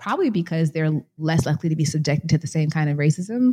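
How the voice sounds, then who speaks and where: Somewhat breathy and dark, mellow in tone, a woman speaks with an American accent at a very deep, low pitch. The sound is dry and close with no echo. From US Midwest, Chicago. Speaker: author and scholar. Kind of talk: interview.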